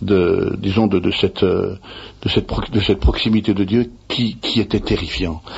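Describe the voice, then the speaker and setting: Somewhat breathy and fairly low, a man's voice moves at a fairly slow pace with ordinary pitch variation. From France, Savoie (Annecy). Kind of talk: interview. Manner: halting.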